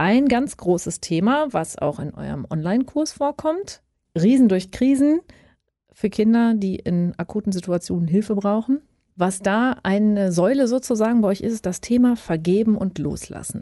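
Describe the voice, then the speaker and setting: The woman's tone is dark and mellow. Her pitch sits in the medium range. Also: moderate pace. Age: old. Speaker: podcast host. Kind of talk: casual interview.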